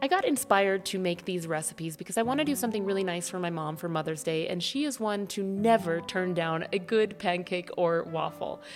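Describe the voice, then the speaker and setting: Amid noticeable background noise, a woman talks at a fairly quick pace and medium pitch, with lively intonation and hardly any pauses. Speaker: cooking channel host. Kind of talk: recipe tutorial voiceover. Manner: fast.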